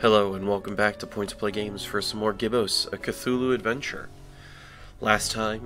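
A man speaks at a moderate pace and fairly low pitch. His intonation is monotone and flat, with music in the background. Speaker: video game let's play commentator. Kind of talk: casual gameplay commentary.

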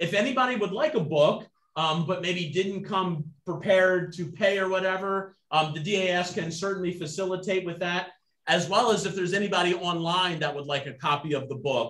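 A man's high-pitched voice with audible room echo. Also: ordinary pitch variation, moderate pace. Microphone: video call.

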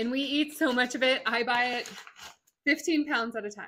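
A woman's bright, sharp voice at a moderate pace, over a quiet background. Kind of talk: tutorial. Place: kitchen.

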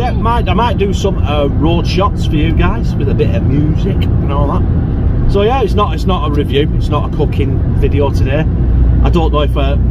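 Loud background noise surrounds a man speaking at a fairly quick pace. The sound is dry, with no echo. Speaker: vlogger driving. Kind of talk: casual vlog chat. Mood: jokey, relaxed. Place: car. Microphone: phone near.

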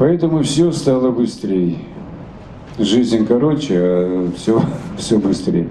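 Speaking at a very slow pace, a man lets his pitch swing very widely, with audible room echo and light background noise. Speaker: satirist writer and stage performer. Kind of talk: interview answer. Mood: animated, humorous. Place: hall. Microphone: handheld.

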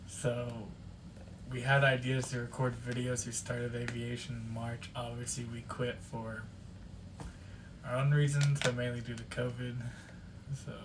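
A man speaks at a moderate pace with monotone, flat intonation and long, frequent pauses. Noticeable background noise runs beneath him. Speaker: channel co-host. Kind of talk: casual vlog chat. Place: home room. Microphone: phone near.

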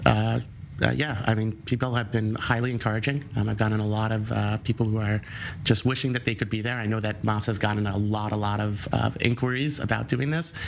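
In a New York accent, a man talks at a fairly quick pace with a fairly low pitch. His intonation is fairly even, over light background noise. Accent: New York American. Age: young. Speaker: volunteer; interview guest. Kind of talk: TV news interview. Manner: halting, many fillers. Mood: friendly, smiling. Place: studio. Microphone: lapel.

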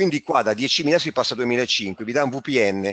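With a normal speaking voice, a man talks at a moderate pace and with lively intonation, the sound dry and close with no echo. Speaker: trading school organizer. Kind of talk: webinar presentation. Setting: online webinar.

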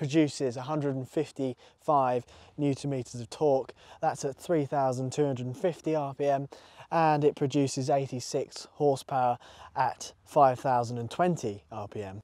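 A man at a moderate pace with fairly even intonation, a dry sound with no echo, and a quiet background. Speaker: motorcycle reviewer. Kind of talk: review presentation. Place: open country.

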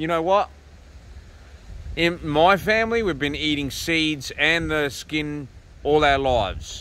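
With a bright, sharp tone, a man speaks at a fairly slow pace with ordinary pitch variation, the sound dry with no echo. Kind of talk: casual vlog chat. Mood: relaxed, opinionated. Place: open country. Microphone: phone near.

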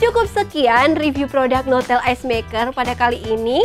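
A woman talks at a moderate pace with faint music playing in the background. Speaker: presenter. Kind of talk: product review presentation. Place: studio. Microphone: lapel.

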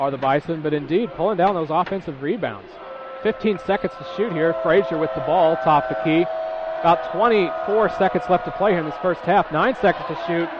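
Over noticeable background noise, a man talks with a high pitch. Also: lively intonation. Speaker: play-by-play announcer. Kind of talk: live sports commentary. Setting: radio broadcast of a college basketball game. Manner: fast, rapid-fire play-by-play calling.

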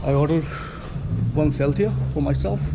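A man speaks at a fairly slow pace. Noticeable background noise runs beneath him. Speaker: travel vlogger. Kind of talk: casual vlog chat. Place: bar. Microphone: phone near.

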